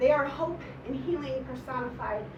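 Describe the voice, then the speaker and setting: Noticeable background noise and audible room echo surround a woman's speech. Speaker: poet. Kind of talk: poetry reading. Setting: stage with audience. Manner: fast.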